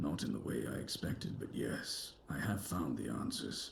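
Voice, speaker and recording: A man's put-on character voice, very deep and low, solemn in tone, at a moderate pace, with clear background noise. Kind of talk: video game dialogue. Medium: video game. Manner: solemn, measured.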